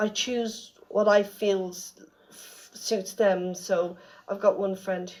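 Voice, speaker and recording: In an Irish accent, a woman speaks at a medium pitch with monotone, flat intonation. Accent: Irish, can't say 'th'. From Ireland, Dublin. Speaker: florist and celebrant. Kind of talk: radio interview. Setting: radio studio. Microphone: recorded on phone, bad audio.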